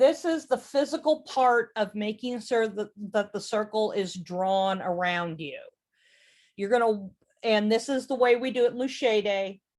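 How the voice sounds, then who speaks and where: Recorded very cleanly against a silent background, this is an ordinary speaking voice moving at a fairly slow pace with lively intonation. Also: woman. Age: 40s. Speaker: presenter teaching witchcraft. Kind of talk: lecture.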